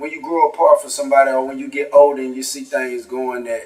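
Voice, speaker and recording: Over music in the background, a man with a Louisiana accent speaks at medium pitch and a fairly quick pace, his intonation fairly even. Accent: Southern US, Louisiana. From North Louisiana, small town. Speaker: rapper. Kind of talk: casual interview.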